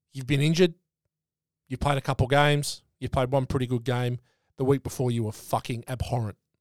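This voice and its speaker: The speaker has an Australian accent and a fairly quick pace with fairly even intonation. The recording is very clean with a silent background and a dry, close sound with no echo. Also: man, medium pitch for a man. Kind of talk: casual chat. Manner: casual, joking.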